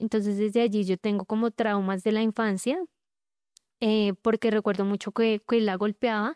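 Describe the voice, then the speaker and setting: A woman with an ordinary speaking voice, fairly high in pitch, fairly even in intonation and moderate in pace, with a dry, close sound with no echo and a quiet background. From Colombia, Bogotá. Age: 20s. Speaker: abuse survivor telling her story. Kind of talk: testimony.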